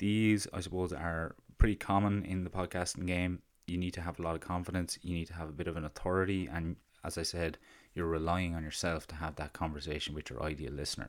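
Very fast, a man with an Irish accent talks with fairly even intonation in a very clean recording with a silent background. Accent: Irish (Carlow), fairly noticeable. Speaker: podcast host. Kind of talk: solo monologue on podcasting. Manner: hesitant, filler words.

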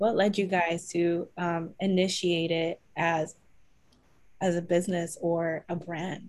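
Very slowly and in a flat monotone, a woman with an American accent speaks at a fairly low pitch. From US. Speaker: podcast host. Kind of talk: casual interview chat.

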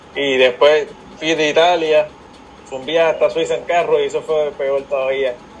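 A man speaks at a moderate pace with big swings in loudness, backed by noticeable background noise. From Puerto Rico, Aguadilla. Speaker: mountain bike racer. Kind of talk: casual interview.

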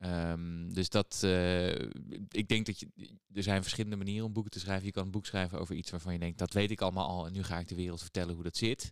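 Over a silent background in a very clean recording, a man with a very deep, low voice talks at a fairly quick clip in a flat monotone. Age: 30s. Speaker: psychologist and author. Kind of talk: casual interview.

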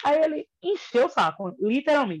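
A woman speaks at a moderate pace. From Salvador, Bahia, Brazil. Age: 40s. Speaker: fashion designer and teacher. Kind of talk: casual interview.

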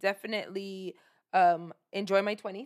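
A woman's medium-pitched voice in a New York accent at a fairly quick pace, on a very clean recording with a silent background. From New York City (Brooklyn, Flatbush). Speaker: podcast co-host. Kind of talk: casual chat.

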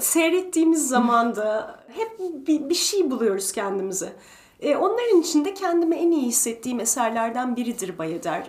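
A woman speaks at a moderate pace in a high voice, her pitch swinging very widely. Background noise is noticeable. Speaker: retired principal ballet dancer and ballet teacher. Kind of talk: interview.

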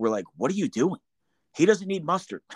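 A man with an American accent speaks with very wide pitch swings. The sound is dry and close with no echo, a very clean recording with a silent background. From New Jersey. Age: 40s. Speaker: podcast host, veteran. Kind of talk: casual chat.

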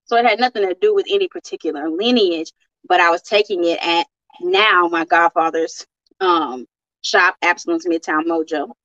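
A woman's fairly low, bright, sharp voice at a moderate pace, with ordinary pitch variation and a dry, close sound with no echo. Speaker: spiritual teacher and guest. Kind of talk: interview conversation.

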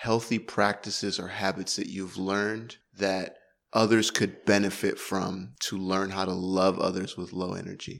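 Heard in a very clean recording with a silent background, a man has a normal speaking voice, a fairly low pitch and fairly even intonation. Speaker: podcast host. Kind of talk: casual chat.

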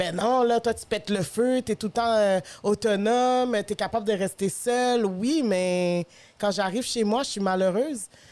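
With a Quebec accent, a woman speaks at a moderate pace and medium pitch, ordinary pitch variation, in a very clean recording with a silent background. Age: 30s. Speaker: podcast host. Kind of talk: casual chat.

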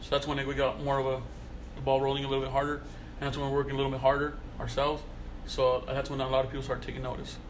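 Over noticeable background noise and audible room echo, a man with an American accent talks very fast in a flat, monotone, fairly high voice, yet with long, frequent pauses. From Salinas, California. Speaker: car culture magazine founder. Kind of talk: casual chat.

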